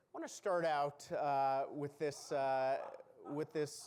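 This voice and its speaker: A man speaks at a medium pitch. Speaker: professor at a military academy. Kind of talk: lecture. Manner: loud projecting command voice; hesitant, many fillers.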